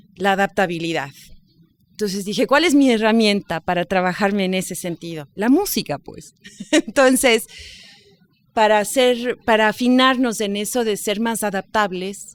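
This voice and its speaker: Recorded with a dry, close sound and no echo, a woman speaks in a plain, everyday voice at a medium pitch, with ordinary pitch variation and a moderate pace. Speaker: radio host and journalist. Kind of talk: podcast interview answer, casual conversational talk.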